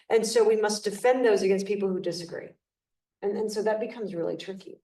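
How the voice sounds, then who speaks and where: With a dark, mellow tone and medium pitch, a woman talks at a very fast pace with fairly even intonation, and room echo is audible. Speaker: panelist. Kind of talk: panel discussion. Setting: live event with audience and zoom. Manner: loud.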